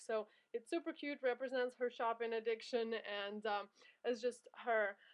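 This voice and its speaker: At a moderate pace and fairly high pitch, this woman talks in an ordinary speaking voice. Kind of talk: product showcase vlog.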